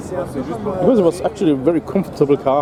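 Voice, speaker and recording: Noticeable background noise sits under a man speaking at a moderate pace, his pitch varying in an ordinary way. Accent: German. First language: German. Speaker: car vlogger. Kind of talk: casual walkthrough vlog commentary. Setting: outdoors at a car show. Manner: hesitant, many fillers.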